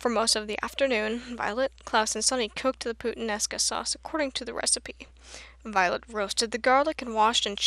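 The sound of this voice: What is heard is an unforced reading voice.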